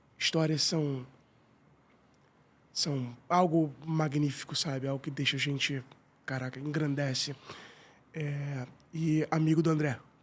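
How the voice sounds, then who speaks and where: A man with a Carioca accent, fairly high-pitched and flat in a monotone, at a fairly slow pace with long, frequent pauses, on a very clean recording with a silent background. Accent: carioca Brazilian Portuguese. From Rio de Janeiro, Tijuca. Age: 40s. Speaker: business owner. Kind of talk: podcast interview.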